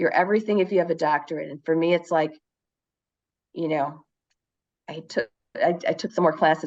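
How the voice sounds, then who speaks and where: A woman with a Chicago accent talks at a fairly quick pace in a fairly low pitch with ordinary pitch variation, taking long, frequent pauses against a quiet background. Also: big swings in loudness. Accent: Chicago-area American. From US Midwest, Chicago area. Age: 60s. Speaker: teacher living abroad. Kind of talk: casual conversation. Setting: video call. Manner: halting.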